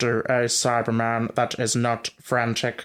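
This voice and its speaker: Using a put-on character voice, a man speaks at a fairly slow pace and a medium pitch with monotone, flat intonation. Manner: flat, slow, robotic, not frantic.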